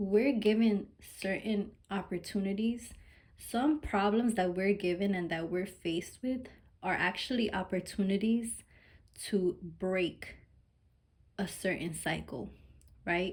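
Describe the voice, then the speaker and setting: Somewhat breathy and medium in pitch, a woman talks at a fairly slow pace. She leaves long, frequent pauses, with ordinary pitch variation. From Mexican heritage. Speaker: tarot reader. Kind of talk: collective tarot reading. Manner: casual, informal with cursing; animated, emphatic.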